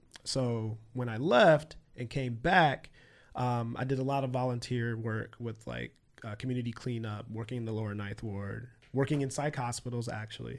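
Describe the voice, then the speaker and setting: A man with a plain, everyday voice and an American accent speaks at a moderate pace, his medium pitch carrying fairly even intonation. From Michigan, Flint area. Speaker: forensic psychiatrist. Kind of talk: casual interview.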